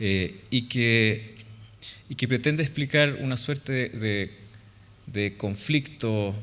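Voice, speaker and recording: Speaking at a fairly slow pace, a man talks with a Chilean accent. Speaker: architect. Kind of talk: conference talk. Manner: hesitant, many fillers.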